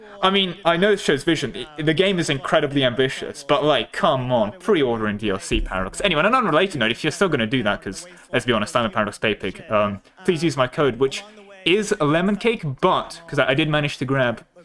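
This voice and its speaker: A man with a non-native accent talks at a very fast pace with a fairly high pitch and very wide pitch swings. Noticeable background noise runs underneath. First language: not English. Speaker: streamer. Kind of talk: livestream watchalong commentary. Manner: casual, halting with fillers.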